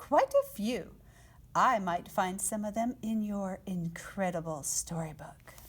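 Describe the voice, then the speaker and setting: In a put-on character voice, a woman sounds squeaky at a medium pitch, talking at a fairly slow pace with ordinary pitch variation. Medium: read story.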